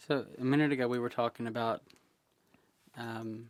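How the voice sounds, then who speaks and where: A man at a medium pitch. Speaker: LGBT advocacy organization president. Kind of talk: oral history interviewer.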